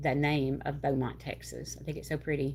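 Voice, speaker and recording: This woman talks at a moderate pace. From southeast Louisiana. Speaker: craft livestreamer. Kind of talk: casual chat. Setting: livestream. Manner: animated.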